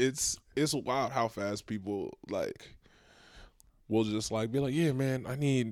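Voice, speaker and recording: In an ordinary speaking voice, a man with an American accent talks at a fairly slow pace and medium pitch. His intonation is fairly even, and the recording is very clean with a silent background. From Dallas, Texas (Nigerian-born). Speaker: stand-up comedian. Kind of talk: casual chat.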